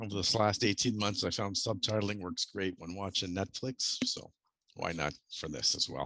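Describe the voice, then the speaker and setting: Speaking at a moderate pace against a quiet background, a man has a bright, sharp tone, a fairly low pitch and ordinary pitch variation. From Canada. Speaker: software developer presenter. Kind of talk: technical presentation.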